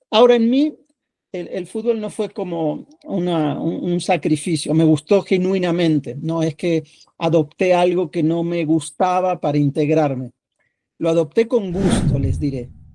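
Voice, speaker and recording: Fairly slow delivery in a dark, mellow tone, pitch varying in an ordinary way. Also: man, high pitch for a man. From Argentina (Buenos Aires), born in Mexico. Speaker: sociologist and book editor. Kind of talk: podcast interview. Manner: halting, many fillers and repetitions.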